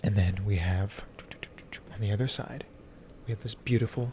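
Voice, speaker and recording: A soft-spoken man talks at a moderate pace with fairly even intonation over noticeable background noise. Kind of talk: ASMR tattoo showcase, casual talk to camera. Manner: soft-spoken, quiet.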